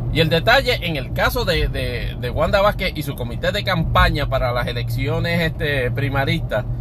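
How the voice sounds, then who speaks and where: A man at a moderate pace with hardly any pauses, amid audible room echo and noticeable background noise. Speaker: podcast host. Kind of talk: solo commentary podcast. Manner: halting, many filler words.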